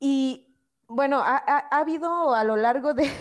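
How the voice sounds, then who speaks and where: A woman's lively intonation at a very slow pace, in a very clean recording with a silent background. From Mexico, Oaxaca. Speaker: radio show host. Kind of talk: casual chat.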